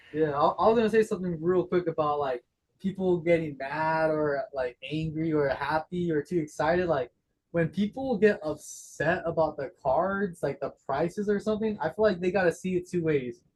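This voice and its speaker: Talking at a moderate pace with an American accent, a man has a high voice and ordinary pitch variation. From Las Vegas, US. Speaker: trading card vendor. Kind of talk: casual chat.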